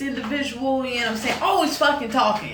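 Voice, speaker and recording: With audible room echo and noticeable background noise, a woman speaks in an animated tone. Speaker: tarot card reader. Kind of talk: tarot reading monologue. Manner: talkative, animated.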